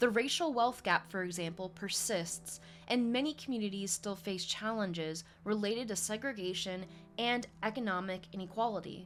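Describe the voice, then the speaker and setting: Over music in the background, a woman speaks at a moderate pace in a medium pitch with ordinary pitch variation. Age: 30s. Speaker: podcast host. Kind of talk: reading aloud; casual commentary.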